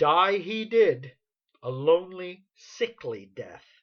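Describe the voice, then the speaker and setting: Using a put-on character voice at a middle pitch, the speaker goes at a fairly slow pace. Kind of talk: iambic pentameter period comedy. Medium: stage play. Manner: proud, blunt.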